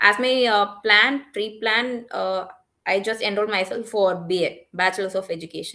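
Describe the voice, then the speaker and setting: At a moderate pace, a woman with a Tamil accent talks at a medium pitch with ordinary pitch variation. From Tamil Nadu, India. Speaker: English teacher. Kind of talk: casual conversation. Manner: halting.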